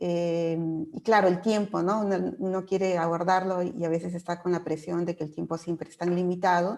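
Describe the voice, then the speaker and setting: A woman's fairly low voice, monotone and flat, with big swings in loudness. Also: moderate pace. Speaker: moderator. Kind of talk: moderating a webinar. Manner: hesitant with fillers.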